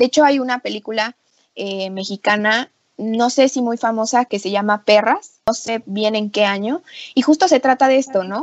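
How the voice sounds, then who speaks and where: An unremarkable speaking voice, this woman talks at a moderate pace with a fairly high pitch and ordinary pitch variation. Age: 20s. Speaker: feminist page creator. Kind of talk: casual discussion.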